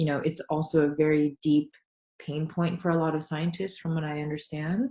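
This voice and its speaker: At a moderate pace, a woman talks in a somewhat breathy voice. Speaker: science illustrator and software founder. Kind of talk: online talk to mentees. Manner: casual with many fillers.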